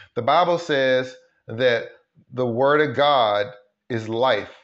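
Ordinary pitch variation in a man's medium-pitched voice, set against audible room echo. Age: 50s. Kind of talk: motivational sermon-style talk. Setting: live stream. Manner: animated.

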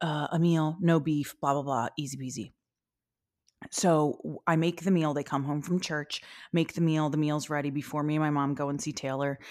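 A woman's very deep, low voice at a moderate pace with ordinary pitch variation, in a very clean recording with a silent background. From Philadelphia, US. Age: 40s. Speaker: podcast host. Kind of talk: casual chat.

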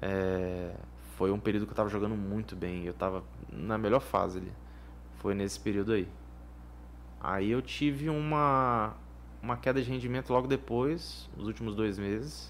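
This man speaks at a fairly low pitch with very wide pitch swings. He leaves long, frequent pauses. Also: moderate pace. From Vitória, Espírito Santo, Brazil. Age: 20s. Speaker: professional poker player. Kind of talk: casual interview. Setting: studio.

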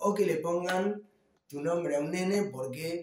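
The speaker is a man with a high voice. He talks with lively intonation. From Argentina, Ituzaingó, Buenos Aires conurbano. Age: 40s. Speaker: rock musician, guitarist and songwriter. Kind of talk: casual interview.

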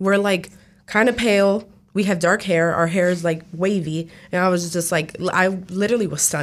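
A woman talks at a moderate pace. She has a normal speaking voice. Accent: American. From New Jersey. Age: 20s. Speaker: education student and student producer. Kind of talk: casual interview. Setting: radio studio.

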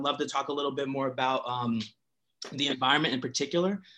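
With a Philadelphia accent, a man speaks at a fairly high pitch. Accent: Philadelphia American English. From Philadelphia, US. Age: young. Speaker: historian. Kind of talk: academic talk.

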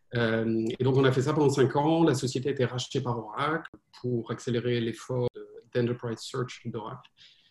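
A man speaks at a moderate pace, his voice somewhat breathy. His pitch is medium and his intonation fairly even. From France. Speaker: venture capital investor. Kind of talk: interview. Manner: halting.

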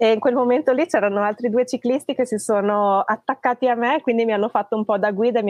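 Fairly even in intonation, the speaker talks at a very fast pace, with a dry, close sound with no echo against a quiet background. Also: woman. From Trentino, Italy (born in Tuscany, moved at ten). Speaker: long-distance cycle traveller. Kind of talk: casual interview. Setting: live stream.

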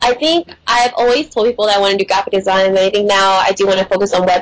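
A woman with an unremarkable speaking voice speaks at a medium pitch with ordinary pitch variation and an American accent. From Texas (Houston). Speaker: graphic and web designer. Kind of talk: casual interview chat.

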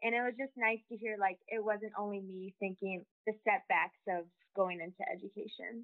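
With an American accent, this is a plain, everyday voice moving at a moderate pace with fairly even intonation and hardly any pauses. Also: woman, fairly high pitch for a woman. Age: young. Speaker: student. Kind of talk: interview.

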